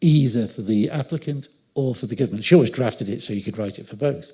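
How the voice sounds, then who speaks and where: A man talks at a fairly quick pace with ordinary pitch variation. His tone is dark, mellow and somewhat breathy. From northern England, Liverpool. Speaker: law professor. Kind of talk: lecture. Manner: fast; animated.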